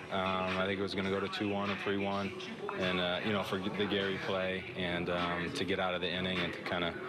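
Loud background noise fills the clip. The speech moves at a fairly quick pace. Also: man. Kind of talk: interview answer. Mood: calm, pleased after win. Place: hall. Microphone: handheld.

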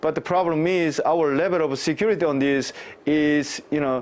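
This man speaks with a Korean accent at a fairly high pitch. His loudness stays very even, with ordinary pitch variation. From South Korea. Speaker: cybersecurity professor. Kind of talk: live interview. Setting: remote live link. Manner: halting, many fillers. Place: office. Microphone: lapel.

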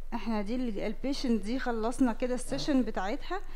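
This woman's voice sits high in pitch and shows ordinary variation. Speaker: dermatology professor demonstrating. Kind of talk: lecture. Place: hall. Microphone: headset.

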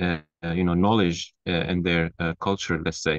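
Here a man talks at a moderate pace. The sound is dry with no echo, and the background is quiet. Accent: Turkish. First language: Turkish. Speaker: architecture graduate student. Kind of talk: casual chat. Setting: video call. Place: home room. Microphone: video call.

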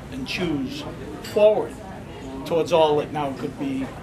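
A man speaks at a fairly slow pace. Noticeable background noise runs behind him. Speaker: poetry reader. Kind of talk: poem reading, performed. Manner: measured, expressive, lyrical cadence. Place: shop. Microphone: camera far.

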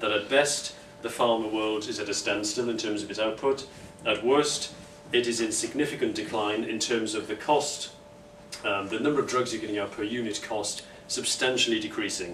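With audible room echo and light background noise, a man speaks at a moderate pace with fairly even intonation. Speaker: speaker. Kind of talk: conference talk. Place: meeting room. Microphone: camera far.

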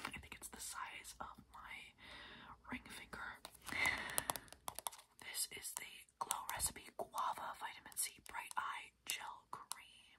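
The speaker whispers at a very slow pace, with long, frequent pauses. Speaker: ASMR creator. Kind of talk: ASMR unboxing, whispered talk to camera. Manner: whispered, soft. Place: home room. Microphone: phone near.

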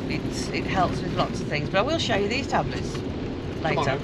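A woman's voice competes with heavy background noise. There is no echo, and the sound stays dry. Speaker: travel vlogger. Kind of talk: casual vlog chat. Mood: chatty, teasing. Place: car. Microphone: phone near.

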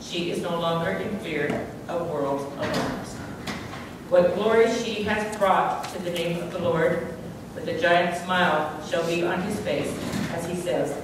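Over noticeable background noise and strong room echo, a woman speaks at a fairly slow pace and fairly low pitch with ordinary pitch variation. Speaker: memorial service speaker. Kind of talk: reading aloud. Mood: solemn, grieving. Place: church.

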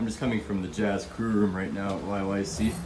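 A man talks over noticeable background noise. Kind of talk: casual vlog chat. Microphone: phone near.

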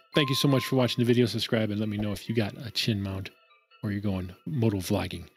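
Faint music plays behind a man who talks at a very fast pace with ordinary pitch variation, in a dry sound with no echo. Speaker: motovlog youtuber. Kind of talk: casual unboxing tutorial. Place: home room. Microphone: studio mic.

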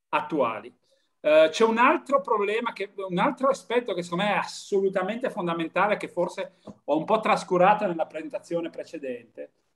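A man's high voice with lively intonation, at a fairly quick pace, over a quiet background. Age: 50s. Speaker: European Commission official; speaker. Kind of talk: panel discussion. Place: home room. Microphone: webcam.

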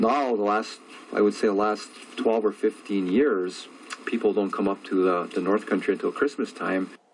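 With an American accent, a man speaks at a moderate pace and fairly low pitch, his loudness very even and his intonation fairly even, over light background noise. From Upper Peninsula of Michigan (Wakefield); Michigan. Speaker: interviewee. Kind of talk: interview. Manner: halting, many fillers. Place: home room.

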